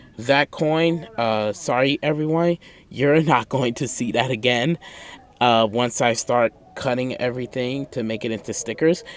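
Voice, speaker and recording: A man talks at a fairly slow pace with a medium pitch. Noticeable background noise is present. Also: ordinary pitch variation. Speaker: art YouTuber. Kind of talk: voiceover commentary over speed drawing. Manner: calm, low-key; hesitant, filler words.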